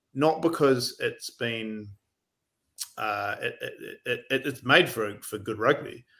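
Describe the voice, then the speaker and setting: In a New Zealand accent, a man speaks at a very slow pace with long, frequent pauses, his medium pitch varying in an ordinary way and his tone bright and sharp. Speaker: rugby writer. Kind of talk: casual chat.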